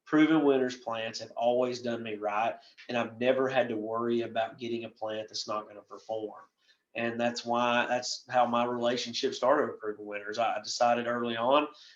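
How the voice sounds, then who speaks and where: A man with a slight Southern US accent, medium pitch, monotone, flat intonation and a fairly quick pace. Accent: Southern US, slight by his own account. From western North Carolina, US South. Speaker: landscape professional presenter. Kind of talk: presentation. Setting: recorded virtual presentation. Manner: casual, rambling.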